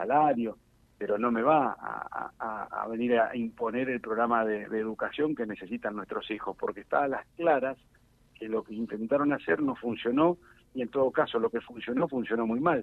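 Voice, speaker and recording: A man's medium-pitched voice at a moderate pace, with ordinary pitch variation and an ordinary speaking voice. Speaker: politician, national deputy. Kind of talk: radio interview. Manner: frequent fillers and repetitions.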